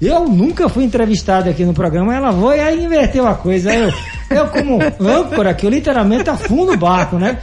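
An animated man at an extremely high pitch, with very wide pitch swings, very even loudness and a fairly quick pace, amid audible room echo and noticeable background noise. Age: 50s. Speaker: radio host and athlete. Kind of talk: casual radio chat. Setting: radio studio.

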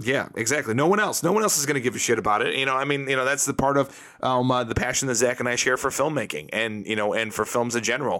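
Noticeable background noise sits behind a man speaking at a very fast pace and a medium pitch, with ordinary pitch variation, hardly any pauses and very even loudness. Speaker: podcast host. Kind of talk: casual chat. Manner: halting, many fillers.

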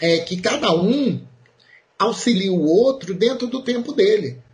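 Fairly slow speech from a man, marked by very wide pitch swings. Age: 40s. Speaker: math teacher. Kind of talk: interview.

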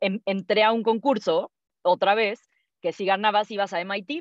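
Against a quiet background, a woman at medium pitch speaks at a fairly slow pace, the sound dry and close with no echo. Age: 20s. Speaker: entrepreneur, founder of an audiobook platform. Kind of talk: casual interview conversation. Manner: animated.

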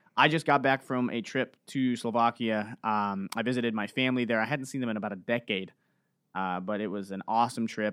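On a very clean recording with a silent background, a man talks with an American accent. His medium-pitched, normal speaking voice moves at a fairly quick pace. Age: 20s. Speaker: podcast host. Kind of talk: casual chat.

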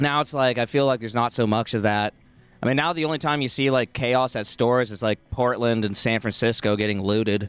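A man with an American accent has an ordinary speaking voice at medium pitch with ordinary pitch variation. He moves at a fairly quick pace, and the sound is dry and close with no echo. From Oregon. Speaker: podcast co-host. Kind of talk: casual chat. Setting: outdoors at a coffee shop courtyard.

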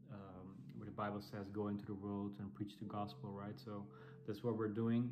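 A man's fairly low voice at a moderate pace, ordinary in its pitch variation, over noticeable background noise. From Netherlands. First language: Dutch. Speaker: church planter and preacher. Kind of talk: sermon or Bible teaching. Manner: halting, with frequent fillers and repeats.

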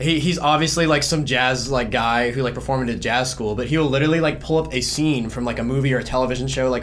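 A man of medium pitch with a Southern US accent speaks at a very fast pace, his intonation fairly even. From South Carolina. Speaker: music student and drummer.

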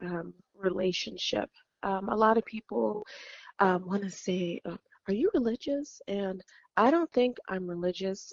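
In an ordinary speaking voice with an American accent, a woman talks at a fairly slow pace with lively intonation. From California. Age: 30s. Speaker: professional bikini competitor. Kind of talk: interview conversation. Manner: frequent um fillers.

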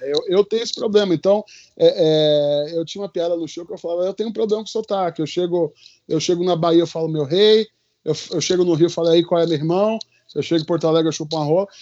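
A man talks at a very fast pace with a high pitch. His intonation stays fairly even. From Recife, Brazil. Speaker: comedian and magician. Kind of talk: casual chat.

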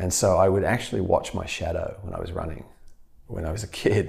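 This man talks at a very fast pace with a fairly low pitch. His voice is somewhat breathy. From Australia. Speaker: physical therapist. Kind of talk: podcast interview.

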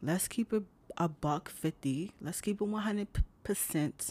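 A woman talks in an unremarkable speaking voice at medium pitch, with ordinary pitch variation. Her pace is moderate, and the recording is very clean with a silent background. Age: 30s. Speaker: motivational podcast host. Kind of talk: motivational talk. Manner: casual, conversational.

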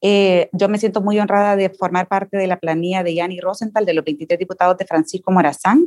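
A woman speaks with fairly even intonation in a dry, close sound with no echo. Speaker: political candidate, educator. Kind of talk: candidate panel interview.

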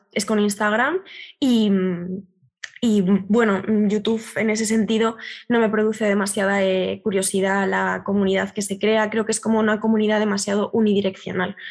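In a flat monotone, a woman speaks at medium pitch and a moderate pace with very even loudness. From Galicia, Spain. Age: 20s. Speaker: art history communicator and student. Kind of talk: casual interview chat. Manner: halting, repeats words.

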